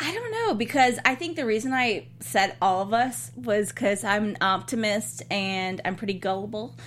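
A woman's voice with vocal fry and lively intonation at a moderate pace. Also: medium pitch for a woman. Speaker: TV after-show host. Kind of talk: casual chat. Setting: studio.

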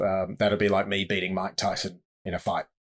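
With an Australian accent, this man delivers his lines at a moderate pace. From Australia, Sydney. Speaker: safari guide and author. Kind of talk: casual interview. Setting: remote call.

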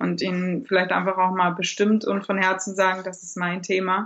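Her intonation monotone and flat, a woman talks at a moderate pace with a medium pitch. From Germany. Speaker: blogger and new mother. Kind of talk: interview.

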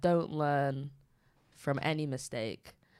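A very slow delivery in a northern English accent. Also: woman. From Manchester, northern England. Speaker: podcast co-host. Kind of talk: casual chat.

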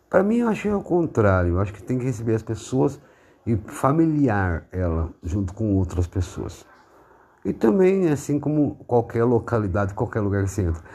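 Speaking at a moderate pace and medium pitch, a man has a somewhat breathy, dark, mellow tone with very wide pitch swings. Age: 40s. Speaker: podcaster. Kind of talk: monologue. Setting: at home, seated in living room. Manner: halting.

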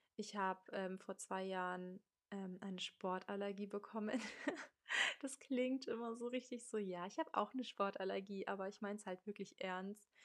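With an unremarkable speaking voice, a woman keeps a medium pitch and fairly even intonation while moving at a moderate pace. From Munich, Germany. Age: 20s. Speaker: podcast host. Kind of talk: casual monologue. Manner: casual, youthful slang.

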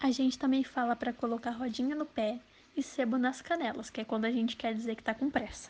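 At a very fast pace, a woman speaks in a high pitch with fairly even intonation. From Minas Gerais, Brazil. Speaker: podcast guest. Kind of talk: casual chat.

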